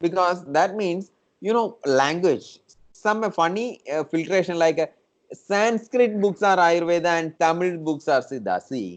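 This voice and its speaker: Speaking at a fairly slow pace in a Keralan accent, this man has a high pitch, heard against a quiet background. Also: ordinary pitch variation. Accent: Indian (Malayali) English. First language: Malayalam. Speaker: traditional medicine teacher. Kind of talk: interview. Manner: halting.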